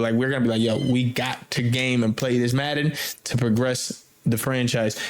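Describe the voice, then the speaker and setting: Noticeable background noise accompanies a man of medium pitch speaking at a fairly quick pace. His intonation is fairly even and his loudness very even. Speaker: gaming podcast host. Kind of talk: casual chat. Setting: remote recording.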